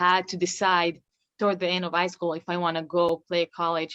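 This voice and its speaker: A woman talks at a moderate pace in a fairly low pitch with an Israeli accent. The sound is dry and close, with no echo. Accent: Israeli (Hebrew-accented English). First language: Hebrew. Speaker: professional basketball player. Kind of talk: interview. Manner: halting.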